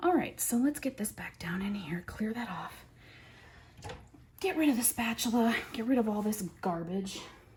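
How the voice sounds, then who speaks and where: A woman's animated tone at medium pitch over noticeable background noise. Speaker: soap maker. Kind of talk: tutorial.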